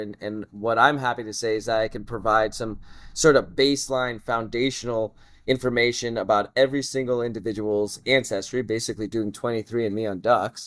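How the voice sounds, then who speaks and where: In a plain, everyday voice, a man with an American accent talks at a fairly slow pace and medium pitch, on a very clean recording with a silent background. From Southern California, family from Russia. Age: 30s. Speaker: geneticist, researcher. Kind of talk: casual interview. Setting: conference.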